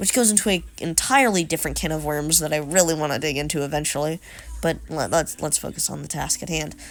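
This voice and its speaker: At a very fast pace, a woman speaks with a very deep, low pitch, vocal fry and ordinary pitch variation. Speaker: YouTube commentator. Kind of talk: video commentary narration. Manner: casual, self-correcting.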